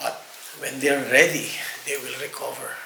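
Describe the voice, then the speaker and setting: A man's voice carries audible echo from the room along with clear background noise. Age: 60s. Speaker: rehab manager. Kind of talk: interview. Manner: halting, frequent repetitions and fillers.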